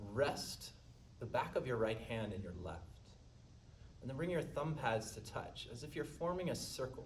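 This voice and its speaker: A man at a medium pitch and moderate pace, with very wide pitch swings and big swings in loudness, amid noticeable background noise and audible room echo. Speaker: yoga instructor. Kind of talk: guided yoga class. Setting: live-streamed studio class.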